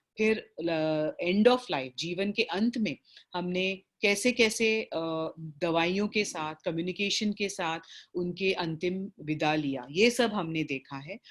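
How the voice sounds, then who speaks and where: Ordinary pitch variation marks this woman's medium-pitched voice. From South Indian, raised in Bombay. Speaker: palliative care doctor and facilitator. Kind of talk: online training session. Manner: halting, many fillers.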